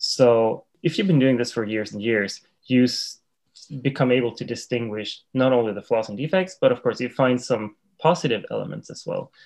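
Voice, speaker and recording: Speaking at a moderate pace with a Swedish accent, a man at medium pitch makes big swings in loudness. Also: ordinary pitch variation. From Sweden. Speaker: tea instructor. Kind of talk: interview.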